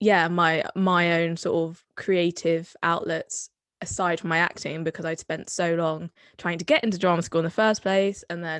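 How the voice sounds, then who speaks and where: A woman with a Somerset accent speaks in a fairly low pitch with monotone, flat intonation. The sound is dry and close with no echo, over a quiet background. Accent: Somerset accent, adopted later. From Somerset, England (Bath). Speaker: drama student. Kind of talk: casual chat.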